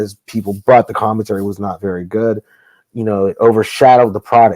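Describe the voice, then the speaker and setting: A man speaks quietly. His intonation is monotone and flat. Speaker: wrestling promoter. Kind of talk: casual podcast interview. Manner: speaking low, quiet; candid, heated.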